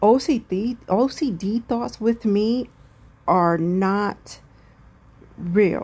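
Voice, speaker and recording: A somewhat breathy voice with a dark, mellow tone and lively intonation. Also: woman. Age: 40s. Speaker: mental health podcaster. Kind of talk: personal monologue. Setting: at home, windows open.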